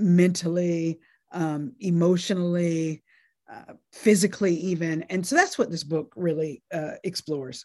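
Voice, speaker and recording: A woman with an American accent speaks at a fairly slow pace in a fairly low pitch, a plain, everyday voice on a very clean recording with a silent background. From US South, North Carolina. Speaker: law professor. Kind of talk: interview.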